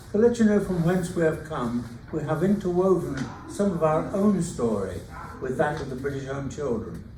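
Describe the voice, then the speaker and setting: Amid audible room echo and noticeable background noise, a man with an English accent speaks at a fairly high pitch and a moderate pace with lively intonation. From England. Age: 90s. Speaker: retired teacher and author. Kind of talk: reading aloud. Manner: halting.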